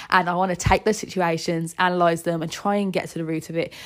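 A woman speaks with a British accent. She talks at a fairly quick pace. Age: 20s. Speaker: podcast host. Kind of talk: personal monologue.

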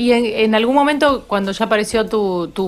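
Speaking with a Rioplatense accent, a woman keeps a moderate pace and uses ordinary pitch variation. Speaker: podcast host. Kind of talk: casual chat. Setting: at home. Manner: animated.

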